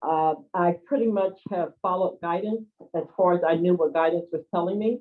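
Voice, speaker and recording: The pace stays moderate. It is a normal speaking voice, and the pitch varies in an ordinary way. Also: woman, fairly low pitch for a woman. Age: 60s. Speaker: spiritual healer and community organizer. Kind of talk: personal testimony in an online group call.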